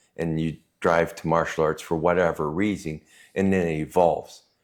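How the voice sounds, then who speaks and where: A man's very deep, low voice with a Canadian accent at a moderate pace, with fairly even intonation, in a very clean recording with a silent background. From Canada, Cree Métis community. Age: 60s. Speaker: martial artist and prison guard. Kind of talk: casual chat.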